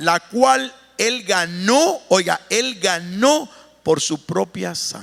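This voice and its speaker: A high-pitched man at a very slow pace with lively intonation. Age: 60s. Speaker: pastor. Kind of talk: sermon.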